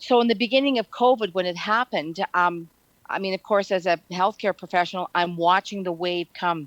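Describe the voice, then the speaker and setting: A woman with a northern Ontario accent speaks at a fairly quick pace and a medium pitch. Her pitch variation is ordinary, and the sound is dry and close with no echo. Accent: Canadian English, northern Ontario. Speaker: retired nurse. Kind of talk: casual chat. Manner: halting.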